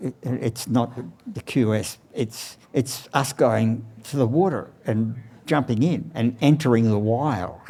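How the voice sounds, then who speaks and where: Here a man talks at a very slow pace in an Australian accent. His tone is dark and mellow, with ordinary pitch variation. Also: medium pitch for a man. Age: 80s+. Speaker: surfboard shaper. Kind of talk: interview. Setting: outdoors beside his surfboard factory.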